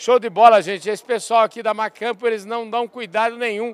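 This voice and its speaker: A man's high-pitched voice with fairly even intonation, in a dry, close sound with no echo. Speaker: agribusiness podcast host. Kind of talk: casual interview. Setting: trade fair stand.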